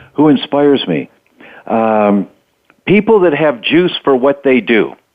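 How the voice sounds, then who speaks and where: A man at a fairly high pitch, fairly slow in pace, with very wide pitch swings. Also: very even loudness. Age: 60s. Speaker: doctor and health author. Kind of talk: interview. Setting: radio interview.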